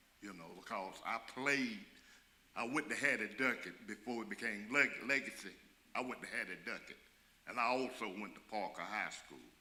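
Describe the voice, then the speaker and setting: Audible room echo surrounds a man with an American accent who speaks at a moderate pace and medium pitch, with ordinary pitch variation. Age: 70s. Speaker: community member asking a question. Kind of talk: public meeting question. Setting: church community meeting. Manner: halting.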